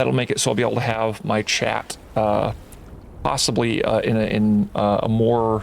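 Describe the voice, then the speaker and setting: A quiet man at a medium pitch, moderate pace, and fairly even intonation. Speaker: gaming streamer. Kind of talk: live game stream commentary. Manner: halting, many fillers. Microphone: volume adjusted after being too quiet.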